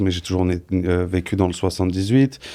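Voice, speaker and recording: In a very clean recording with a silent background, a man with a very deep, low pitch and a dark, mellow tone talks at a moderate pace with a monotone, flat intonation. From France, Paris region (Yvelines). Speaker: professional bodybuilder. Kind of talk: casual interview.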